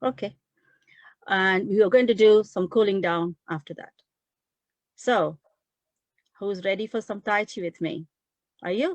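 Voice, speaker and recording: A woman at medium pitch speaks at a fairly slow pace with ordinary pitch variation, big swings in loudness and long, frequent pauses, in a dry, close sound with no echo. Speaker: physiotherapist leading tai chi session. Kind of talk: exercise class instruction. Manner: slightly louder than normal.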